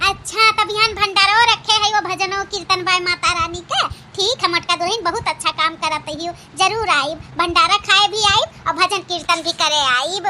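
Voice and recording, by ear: A woman does a cartoonish character voice at an extremely high pitch, with clear background noise behind her. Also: moderate pace, ordinary pitch variation, hardly any pauses.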